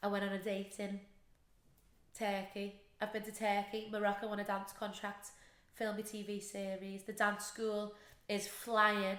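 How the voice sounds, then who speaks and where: With audible room echo, a woman speaks at a moderate pace and medium pitch, her intonation monotone and flat, with long, frequent pauses. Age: 20s. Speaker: podcast host and dance teacher. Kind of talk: casual chat.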